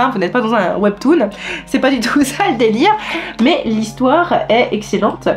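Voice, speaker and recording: A woman's voice over noticeable background noise. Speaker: manga reviewer. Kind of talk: casual talk to camera.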